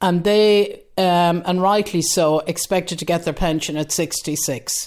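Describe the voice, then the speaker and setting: A woman speaks at a fairly slow pace with an Irish accent, her pitch fairly low and her intonation fairly even. The recording is very clean, with a silent background. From west of Ireland. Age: 70s. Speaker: retired voter. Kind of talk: interview.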